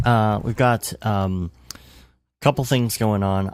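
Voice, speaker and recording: Quiet and at a fairly slow pace, a man with a fairly low pitch speaks in a very clean recording with a silent background. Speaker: motion graphics podcast host. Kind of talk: casual chat.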